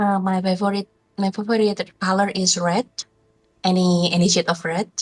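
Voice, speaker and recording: Her voice is medium-pitched and monotone, the intonation flat, as this woman with a non-native accent speaks at a moderate pace with very even loudness in a dry, close sound with no echo. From Indonesia. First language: not English. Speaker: video game artist. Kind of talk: interview. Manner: halting.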